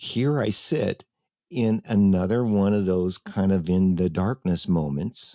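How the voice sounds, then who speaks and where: A man speaks at a very slow pace in a fairly low pitch with a dark, mellow tone, ordinary pitch variation and very even loudness. The recording is very clean, dry and close with no echo, over a silent background. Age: 60s. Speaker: talk show host. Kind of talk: casual chat. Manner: halting.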